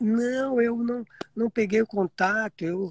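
This is a man speaking. His pace is fairly slow. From Piedade, interior of São Paulo, Brazil. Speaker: marathon champion runner. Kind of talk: casual chat.

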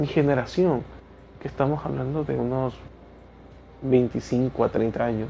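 Long, frequent pauses break up speech delivered at a fairly slow pace in a dark, mellow tone with ordinary pitch variation. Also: man. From Ecuador. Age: 30s. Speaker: teacher and podcaster. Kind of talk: solo podcast monologue.

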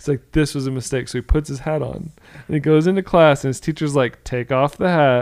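At a fairly quick pace, a man with an American accent speaks in an unremarkable speaking voice. His pitch is fairly high and his intonation fairly even. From Florida, US. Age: 30s. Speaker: podcast co-host. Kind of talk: casual chat.

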